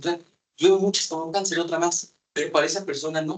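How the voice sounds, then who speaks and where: A man speaks at a very fast pace. His pitch sits fairly high. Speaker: psychiatrist. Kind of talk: lecture.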